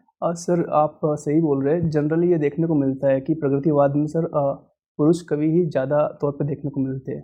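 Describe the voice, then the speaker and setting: Speaking at a moderate pace with hardly any pauses, a man uses a fairly high pitch and monotone, flat intonation. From Madhya Pradesh, India (Agar Malwa district). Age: 20s. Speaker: civil services exam candidate. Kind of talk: mock job interview. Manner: hesitant, many fillers; formal, deferential.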